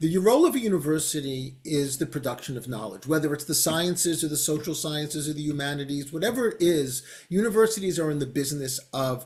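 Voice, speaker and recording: A man's somewhat breathy, fairly high voice, with an American accent, ordinary pitch variation and a very fast pace. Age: 60s. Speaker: professor. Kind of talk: interview conversation.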